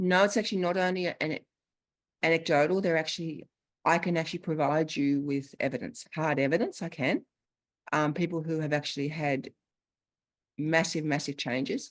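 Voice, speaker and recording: A woman with an Australian accent speaks at a very deep, low pitch with ordinary pitch variation. She leaves long, frequent pauses against a quiet background. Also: moderate pace. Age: 50s. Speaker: longevity coach. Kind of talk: Q&A after presentation.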